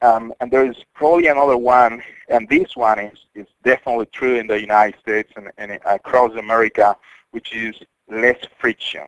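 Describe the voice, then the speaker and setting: A man with a Spanish accent at a fairly quick pace, with fairly even intonation, big swings in loudness, and a dry, close sound with no echo. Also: medium pitch for a man. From Colombia. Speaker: cybersecurity company CEO. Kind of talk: interview.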